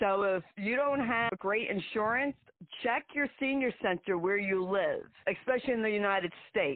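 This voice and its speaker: Someone with a New Jersey accent talks at a fairly slow pace with lively intonation. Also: woman. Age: 60s. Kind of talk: interview conversation, personal story. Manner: blunt, emphatic.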